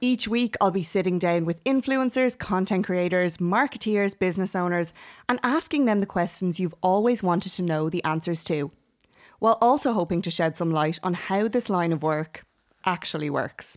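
In a very clean recording with a silent background, a woman with an Irish accent speaks at a moderate pace, using a medium pitch and ordinary pitch variation. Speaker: podcast host. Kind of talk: scripted podcast intro; casual interview chat.

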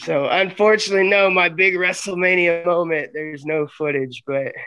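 A man with a Southern US accent speaks at a moderate pace in a high-pitched, bright, sharp tone. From US South, Arkansas. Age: 30s. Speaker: pro wrestler. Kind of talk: interview. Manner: animated.

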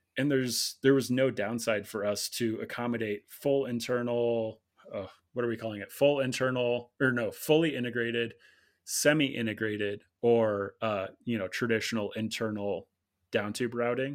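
With an American accent, this is a normal speaking voice at a moderate pace with fairly even intonation. The recording is very clean with a silent background. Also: man, medium pitch for a man. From Illinois, US Midwest. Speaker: bicycle product designer. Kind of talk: casual interview.

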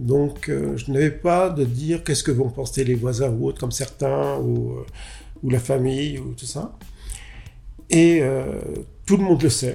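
Long, frequent pauses break up a man's fairly slow pace. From France, Paris suburbs. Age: 50s. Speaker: interviewee. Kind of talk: testimony.

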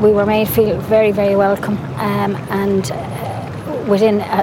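A woman with an Irish accent speaks at medium pitch in a monotone, flat way, with noticeable background noise and audible room echo. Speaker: mother of a witness. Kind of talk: testimony.

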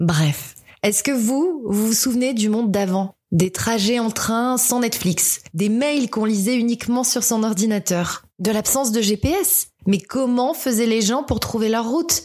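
A woman talks at a fairly slow pace with a fairly high, somewhat breathy voice and hardly any pauses. Her loudness stays very even on a very clean recording with a silent background. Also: ordinary pitch variation. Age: 30s. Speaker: podcaster. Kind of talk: monologue.

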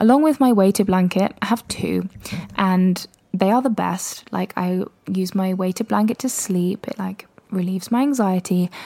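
Relaxed and calm in tone, a woman with a British accent speaks at a moderate pace in a dark, mellow, medium-pitched voice with ordinary pitch variation. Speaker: solo podcast host. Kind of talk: casual solo podcast monologue. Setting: home recording with mic. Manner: relaxed, calm delivery.

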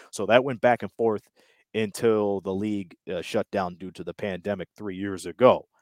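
In a plain, everyday voice, a man speaks at a fairly quick pace and a fairly low pitch, with a dry, close sound, no echo and a quiet background. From Windsor, Ontario, Canada. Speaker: sports broadcaster, play-by-play announcer. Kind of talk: casual interview.

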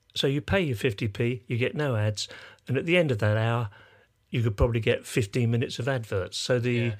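Over a very clean recording with a silent background, a man with an English accent speaks very fast at medium pitch with ordinary pitch variation. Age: 80s+. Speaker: musician and sound engineer. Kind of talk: casual chat.

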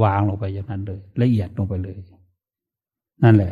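With ordinary pitch variation, a man speaks in a dark, mellow tone that is somewhat breathy. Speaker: Buddhist monk, meditation teacher. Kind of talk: dharma talk with personal story.

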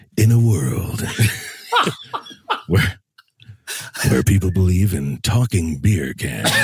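A man's put-on character voice, very deep and low in pitch, at a very slow pace with long, frequent pauses. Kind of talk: in a world where... trailer narration. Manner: dramatic, close to the mic.

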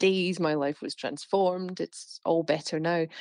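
In an unremarkable speaking voice, a woman talks at a moderate pace with a fairly low pitch and ordinary pitch variation, recorded dry and close with no echo against a quiet background. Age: 40s. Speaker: health reporter. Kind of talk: interview.

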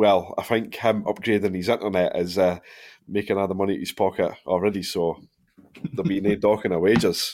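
A man with a Dundee accent talks at a fairly quick pace, his pitch fairly low and his intonation fairly even. The recording is very clean, with a silent background. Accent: Scottish (Dundee). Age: 30s. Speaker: football podcast host. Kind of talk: casual chat.

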